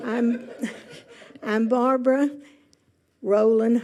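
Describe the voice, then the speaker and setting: The tone is dark and mellow. The pace is very slow. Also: woman. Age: 90s. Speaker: retirement community resident. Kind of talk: self-introduction at a meeting.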